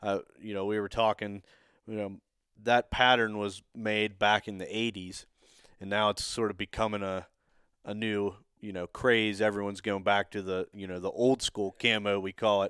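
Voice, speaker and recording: Monotone, flat intonation marks a man speaking at a moderate pace. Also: fairly low pitch for a man, dry, close sound with no echo. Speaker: podcast host, turkey hunter. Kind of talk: casual chat, interview.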